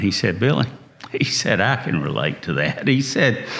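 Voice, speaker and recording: A man with a Southern US accent speaks with ordinary pitch variation. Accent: slow-talking Southern. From North Carolina, US South. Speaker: entrepreneur. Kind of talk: interview.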